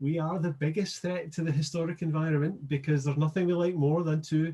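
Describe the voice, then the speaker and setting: Someone speaks at a fairly quick pace. They have a Scottish accent. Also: man. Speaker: archaeologist and digital preservation specialist. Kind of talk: interview. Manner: halting.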